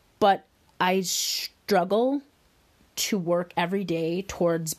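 This is a normal speaking voice in an American accent. The pitch varies in an ordinary way. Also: woman. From Wisconsin, US Midwest. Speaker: podcast host, wellness coach. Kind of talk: solo podcast monologue.

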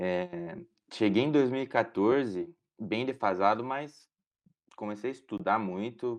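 Man's medium-pitched voice at a very slow pace, with long, frequent pauses over a quiet background. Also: lively intonation. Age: 20s. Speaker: medical student. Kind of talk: casual interview.

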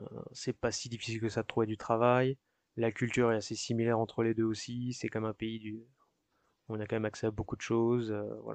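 A man speaks at a fairly quick pace in a medium pitch, his intonation monotone and flat. The sound is dry and close with no echo, over a quiet background. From France, Paris region (Yvelines). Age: 30s. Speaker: working-holiday immigrant. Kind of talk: interview testimony. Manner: hesitant, frequent filler euh.

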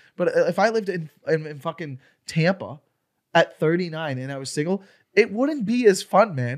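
A man speaks at a moderate pace with a high pitch and lively intonation. His loudness swings widely, and the sound is dry and close with no echo. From Florida. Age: 30s. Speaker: comedian. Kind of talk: casual chat.

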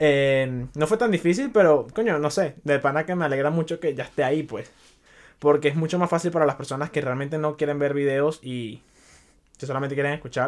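A man speaks at a fairly high pitch. His pitch variation is ordinary. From Venezuela. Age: 20s. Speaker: podcaster. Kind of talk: casual monologue.

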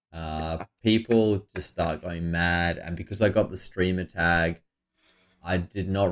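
Speaking with an Australian accent, this man has a very deep, low pitch. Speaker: poker player and podcast co-host. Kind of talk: casual chat. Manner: laughs often.

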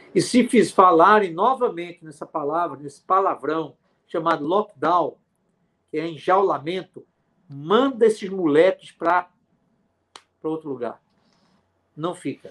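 A high-voiced man speaks at a fairly slow pace with ordinary pitch variation, big swings in loudness, and long, frequent pauses. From Pernambuco backlands, Brazil. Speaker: physician. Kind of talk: interview.

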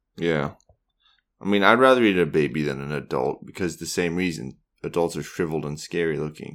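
In a very clean recording with a silent background, a man speaks at a fairly quick pace in a very deep, low pitch, with vocal fry and ordinary pitch variation. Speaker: podcast co-host. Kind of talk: casual chat.

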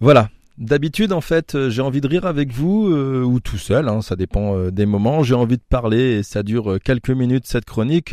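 A man with a medium pitch and a dark, mellow tone, dry and close with no echo over a quiet background. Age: 40s. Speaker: film podcast panelist, former teacher. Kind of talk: impassioned commentary segment.

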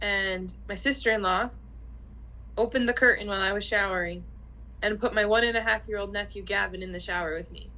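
A woman speaks rather quickly. Her volume rises and drops by large amounts. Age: 30s. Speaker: podcast co-host. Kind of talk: casual chat.

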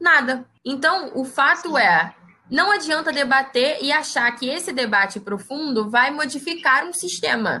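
Her voice is raised and projected, high in pitch, with lively intonation. The woman speaks at a fairly slow pace. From Brazil, Baixada Fluminense, Rio de Janeiro. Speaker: biologist and researcher. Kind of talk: interview.

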